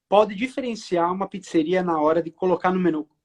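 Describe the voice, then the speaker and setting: The sound is close and dry, without any echo. Pitch moves up and down in a normal way. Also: man. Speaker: live stream host. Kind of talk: casual live stream chat.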